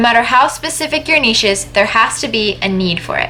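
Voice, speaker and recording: Noticeable background noise sits behind a voice with a Canadian accent. The pitch swings very widely. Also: woman. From Canada. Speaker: YouTuber giving writing and publishing tips. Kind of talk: tutorial.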